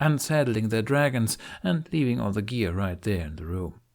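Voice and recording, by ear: Lively intonation comes through as the text is read aloud in a natural voice.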